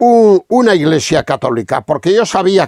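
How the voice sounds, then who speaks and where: Speaking fairly slowly, a man with a high pitch uses lively intonation, and the sound is dry and close with no echo. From Spain, Castilla-La Mancha. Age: 70s. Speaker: radio speaker giving religious testimony. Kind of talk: testimony.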